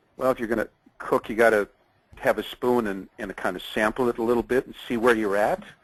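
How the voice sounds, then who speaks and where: A man speaks in a plain, everyday voice. His medium pitch comes at a fairly quick pace. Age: 60s. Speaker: program participant with diabetes. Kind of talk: testimony. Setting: webinar call.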